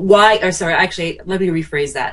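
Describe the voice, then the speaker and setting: With an American accent, a woman in an unremarkable speaking voice talks at a moderate pace, fairly low-pitched, with ordinary pitch variation. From small-town US. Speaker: marketing consultant. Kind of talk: interview podcast.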